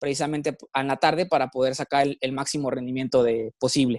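Here a man talks at a fairly high pitch with fairly even intonation. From Mexico, Monterrey. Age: 20s. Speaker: professional triathlete. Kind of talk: interview. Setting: studio. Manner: halting.

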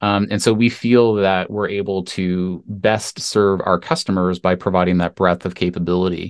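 A man with a Canadian accent speaks at a moderate pace with hardly any pauses, his very deep, low voice in a monotone, flat intonation. The background is quiet. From Canada. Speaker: tech entrepreneur. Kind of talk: interview.

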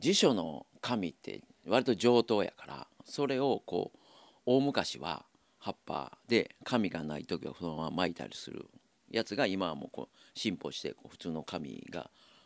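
A man speaks at a fairly low pitch and fairly slow pace, with vocal fry, very wide pitch swings and big swings in loudness. The sound is dry and close with no echo, on a very clean recording with a silent background. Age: 60s. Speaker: tobacco shop owner. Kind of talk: casual interview. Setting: shop in shopping arcade.

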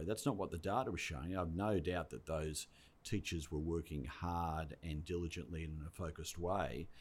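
Vocal fry at a moderate pace. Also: man. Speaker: education department head. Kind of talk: interview podcast.

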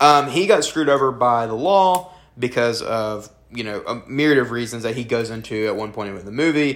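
Speaking at a fairly quick pace with a Southern US accent, a man with a medium-pitched voice shows ordinary pitch variation and big swings in loudness. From US South. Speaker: film review podcast host. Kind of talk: casual chat.

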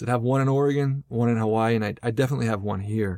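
A man with an American accent speaks in a plain, everyday voice at medium pitch with ordinary pitch variation. The recording is very clean, with a silent background and a dry, close sound with no echo. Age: 40s. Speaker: English teacher and podcaster. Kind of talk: interview.

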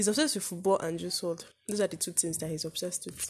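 A woman's somewhat breathy, playful voice at medium pitch, with ordinary pitch variation. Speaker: podcast co-host. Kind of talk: casual chat. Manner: joking, playful banter.

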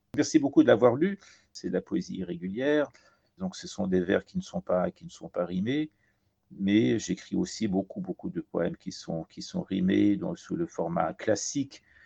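The voice moves at a fairly slow pace, with very wide pitch swings and big swings in loudness. Music plays in the background, and the sound is dry and close with no echo. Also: man, medium pitch for a man. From Iran and France. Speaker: poet and translator. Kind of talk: interview.

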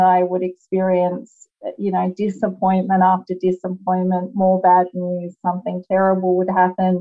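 A woman at a moderate pace and medium pitch, with hardly any pauses. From Australia. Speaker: lawyer and author. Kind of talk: interview.

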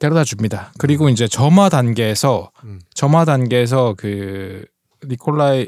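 A normal speaking voice with lively intonation at a moderate pace, in a very clean recording with a silent background. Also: man. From Gangseo-gu, Seoul. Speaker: film podcast guest. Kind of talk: casual chat.

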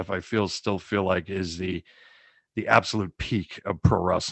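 A man with a fairly low pitch and an unremarkable speaking voice talks in an American accent. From US Northeast, Boston. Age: 30s. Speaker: podcast co-host. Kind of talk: casual chat.

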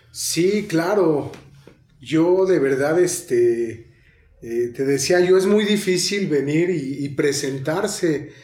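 A very slow pace, with noticeable background noise and audible room echo. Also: man, fairly high pitch for a man, ordinary pitch variation. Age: 30s. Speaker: recovering addict. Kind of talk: testimony. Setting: studio.

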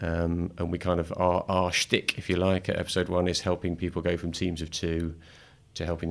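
The recording is very clean, with a silent background. A man with a very deep, low pitch talks at a fairly quick pace in a flat monotone. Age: 50s. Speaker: venture capital investor. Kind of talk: casual chat. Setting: studio.

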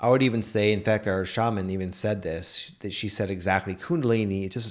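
A man's a normal speaking voice, fairly low in pitch with ordinary variation, at a fairly quick pace in a very clean recording with a silent background. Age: 30s. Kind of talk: casual chat.

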